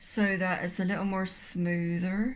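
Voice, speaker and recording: A woman with a British accent speaks amid audible room echo. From Britain. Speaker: painter. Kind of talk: tutorial. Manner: casual, chatty.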